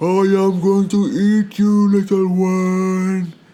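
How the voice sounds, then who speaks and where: A man's put-on character voice, high in pitch, monotone and flat, at a very slow pace. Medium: read story. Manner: menacing, slow.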